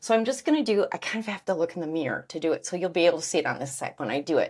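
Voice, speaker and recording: Talking at a very fast pace, a woman with a fairly low pitch makes very wide pitch swings. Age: 60s. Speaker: beauty vlogger. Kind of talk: tutorial. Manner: casual.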